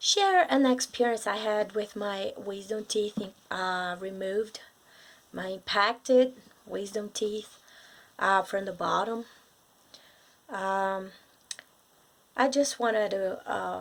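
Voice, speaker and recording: In a Brazilian accent, a woman at medium pitch speaks at a very slow pace with fairly even intonation and long, frequent pauses, on a very clean recording with a silent background. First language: Portuguese. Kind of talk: casual talk to camera. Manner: hesitant, many fillers.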